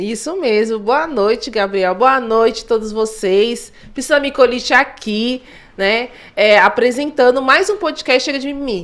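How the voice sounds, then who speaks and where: At a moderate pace, a woman with fairly high pitch speaks in an animated tone with lively intonation. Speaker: podcast co-host. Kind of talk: casual podcast chat. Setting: studio, live stream. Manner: articulate.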